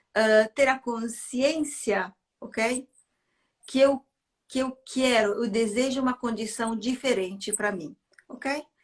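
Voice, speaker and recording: A high-pitched woman with an Italian accent, at a fairly slow pace, with long, frequent pauses. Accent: non-native Portuguese, Italian-tinged. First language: not Portuguese (speaking Portuguese). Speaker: therapist and neuro-linguistic programming trainer. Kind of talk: interview explanation. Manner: halting, with fillers.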